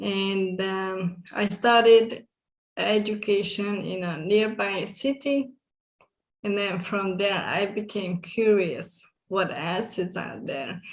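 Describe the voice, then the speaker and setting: A woman with a Hungarian accent speaks at a very slow pace. Her medium pitch carries fairly even intonation. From Hungary, small village. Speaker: summit guest speaker. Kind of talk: interview.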